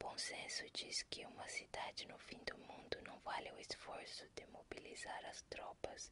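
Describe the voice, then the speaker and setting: Her pace is fairly slow. The woman speaks in a whisper. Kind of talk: ASMR book reading in Portuguese. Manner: whispered.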